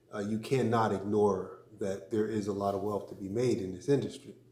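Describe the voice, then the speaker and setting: Speaking at a moderate pace, a man with a fairly low pitch and a dark, mellow, somewhat breathy tone keeps a flat, monotone delivery amid audible room echo. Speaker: crypto vlogger and business owner. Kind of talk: casual vlog talk. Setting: studio. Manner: measured, with many fillers.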